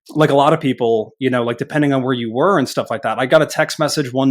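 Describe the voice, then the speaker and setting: A man's normal speaking voice at a medium pitch, fairly quick in pace and fairly even in intonation. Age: 30s. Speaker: marketing agency owner. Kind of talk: casual interview chat. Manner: casual, filler-heavy.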